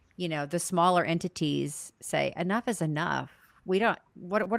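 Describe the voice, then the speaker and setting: In a very clean recording with a silent background and a dry, close sound with no echo, a woman with an ordinary speaking voice talks at a fairly low pitch with ordinary pitch variation. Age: young. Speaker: podcast co-host. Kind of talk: casual chat.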